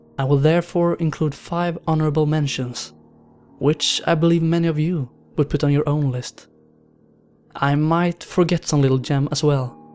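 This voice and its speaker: Music plays in the background as a man speaks. His pitch is fairly high and his intonation monotone and flat. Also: moderate pace. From Sweden. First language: Swedish. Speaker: horror story narrator. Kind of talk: countdown commentary.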